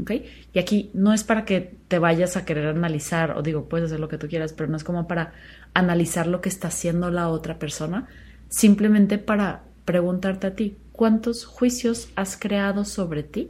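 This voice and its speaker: On a very clean recording with a silent background, a woman speaks at a moderate pace and a fairly low pitch, somewhat breathy, with ordinary pitch variation. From Mexico, Chihuahua. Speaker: podcast host. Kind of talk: solo reflective talk. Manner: casual, with filler words.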